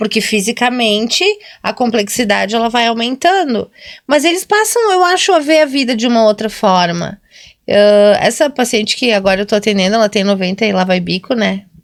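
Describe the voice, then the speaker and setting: A woman with an ordinary speaking voice talks at a moderate pace in a fairly high pitch, her intonation lively and her loudness very even. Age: 40s. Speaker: nurse and podcast co-host. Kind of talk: casual chat.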